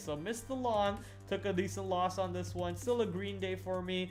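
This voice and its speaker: Music plays behind a man with a non-native accent and a fairly high pitch. He speaks at a fairly quick pace, and the room echo is audible. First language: not English. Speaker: day trader streamer. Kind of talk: live stream trading recap. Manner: casual, hesitant with fillers.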